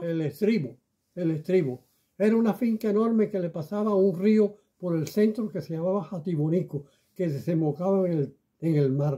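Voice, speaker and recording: A man talks with a high pitch and ordinary pitch variation. His tone is dark and mellow. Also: moderate pace. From Cuba. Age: 80s+. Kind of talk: interview answer.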